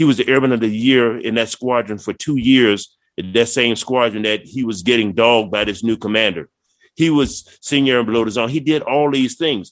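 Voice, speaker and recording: A man with an American accent has an unremarkable speaking voice, a medium pitch with ordinary variation, and a fairly quick pace. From Virginia, Prince George County. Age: 60s. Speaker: retired Air Force chief master sergeant. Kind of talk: casual chat.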